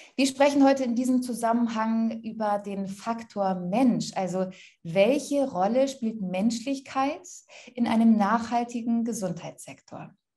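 Over a quiet background, a woman with a dark, mellow tone talks at a fairly slow pace with ordinary pitch variation. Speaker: moderator. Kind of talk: moderated talk. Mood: friendly, calm, professional.

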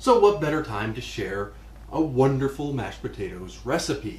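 The room gives off audible echo. A man speaks at a moderate pace within it. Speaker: cooking show host. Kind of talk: tutorial. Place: kitchen.

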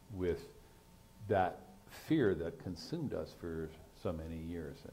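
A man's dark, mellow, somewhat breathy voice with ordinary pitch variation. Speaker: moderator, science writer; moderator. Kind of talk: moderated panel discussion. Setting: stage with audience. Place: stage. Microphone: lapel.

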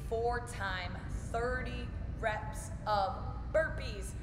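Music runs in the background. Over it, a woman talks. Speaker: fitness coach. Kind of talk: workout tutorial. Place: gym. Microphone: camera far.

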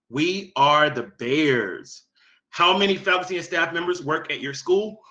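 A man talks at a moderate pace with lively intonation. His tone is bright and sharp against a quiet background. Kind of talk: meeting presentation, reading answers. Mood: upbeat, praising. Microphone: webcam.

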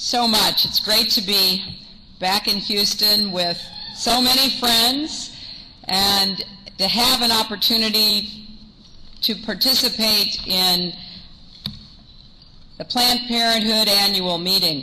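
A woman talks at a very slow pace with long, frequent pauses and ordinary pitch variation. Noticeable background noise runs under her voice. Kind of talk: acceptance speech. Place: hall. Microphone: podium.

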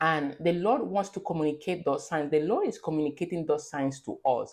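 Against a quiet background, a woman with a fairly low voice talks at a moderate pace. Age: 30s. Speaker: faith-based content creator. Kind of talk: devotional talk with scripture reading. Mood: earnest, exhorting. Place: home room. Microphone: phone near.

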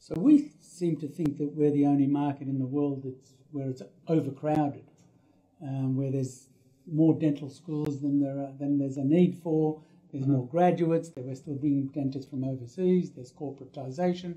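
Against a quiet background, a man with an Australian accent speaks in a dark, mellow, somewhat breathy tone at a fairly high pitch, his intonation monotone and flat. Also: moderate pace. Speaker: dentist and practice consultant. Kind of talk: interview. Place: office.

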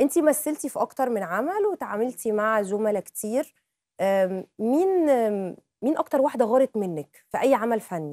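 A woman with an Egyptian accent and very wide pitch swings. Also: moderate pace, quiet background, dry sound with no echo. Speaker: TV presenter. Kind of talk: TV talk show interview questions. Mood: playful, chatty. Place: studio. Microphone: lapel.

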